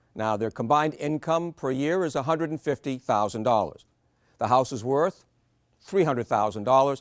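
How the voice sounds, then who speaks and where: A normal speaking voice talks at a fairly quick pace with lively intonation. The sound is dry and close with no echo, and the recording is very clean with a silent background. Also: man. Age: 60s. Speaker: financial planning presenter. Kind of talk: seminar presentation.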